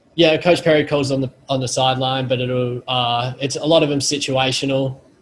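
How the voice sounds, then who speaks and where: A man's somewhat breathy, medium-pitched voice in an Australian accent, flat and monotone, at a moderate pace. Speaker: college football punter. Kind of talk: post-practice interview. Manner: halting.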